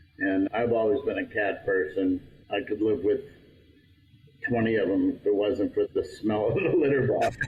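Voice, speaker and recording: A man's voice, moderately paced, broken by long, frequent pauses, with noticeable background noise. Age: 60s. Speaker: pizza restaurant owner. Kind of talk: casual interview chat.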